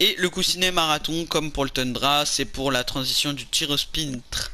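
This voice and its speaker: Fairly high in pitch, a man speaks with a bright, sharp tone and fairly even intonation. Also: fairly slow pace. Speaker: gaming YouTuber. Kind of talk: gameplay tutorial. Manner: stutters, loses words; casual, hesitant with fillers.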